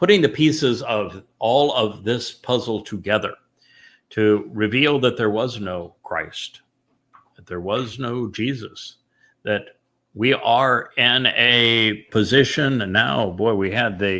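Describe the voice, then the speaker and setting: A booming, bright and sharp voice at a very slow pace, with big swings in loudness and ordinary pitch variation, on a very clean recording against a silent background. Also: man. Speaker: religious study host and author. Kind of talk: religious study discussion.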